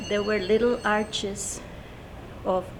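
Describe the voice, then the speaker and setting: With noticeable background noise and audible room echo, a woman talks at a very slow pace in a monotone, flat intonation. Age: 70s. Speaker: UFO witness. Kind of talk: testimony.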